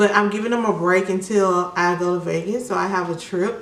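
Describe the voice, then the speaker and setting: A woman speaks with an American accent over noticeable background noise and audible room echo. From US South, Birmingham, Alabama. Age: 30s. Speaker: makeup artist and beauty YouTuber. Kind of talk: casual chat during makeup tutorial.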